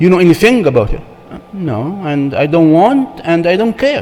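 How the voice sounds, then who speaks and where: A man with a non-native accent speaks at a fairly slow pace and a high pitch. His pitch swings very widely, and noticeable background noise is present. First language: not English. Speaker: church marriage seminar speaker. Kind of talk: seminar talk.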